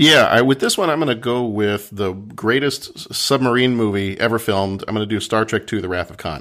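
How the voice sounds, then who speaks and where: An ordinary speaking voice from a man with an American accent, medium in pitch with ordinary variation. He talks at a fairly quick pace with hardly any pauses. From Texas. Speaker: podcaster. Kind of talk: casual chat.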